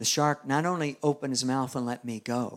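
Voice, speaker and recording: At a fairly quick pace, a man with an ordinary speaking voice and medium pitch keeps a fairly even intonation on a very clean recording with a silent background. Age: 60s. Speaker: evangelist preacher. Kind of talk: sermon.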